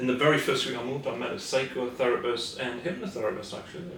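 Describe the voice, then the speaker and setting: The speaker, with a Scottish accent, uses ordinary pitch variation. Audible room echo and noticeable background noise are present. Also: man. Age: 60s. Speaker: therapist. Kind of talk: casual interview.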